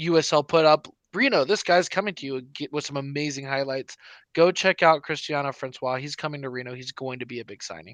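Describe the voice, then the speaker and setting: In a normal speaking voice, a man with a fairly high pitch talks at a fairly quick pace with ordinary pitch variation and big swings in loudness, the sound dry and close with no echo against a quiet background. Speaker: soccer podcast co-host. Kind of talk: casual sports chat. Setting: live stream.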